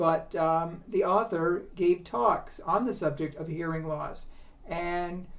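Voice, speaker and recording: A woman talks at a fairly slow pace, with audible room echo around her. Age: 70s. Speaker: book reviewer. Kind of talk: book review. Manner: halting, many fillers.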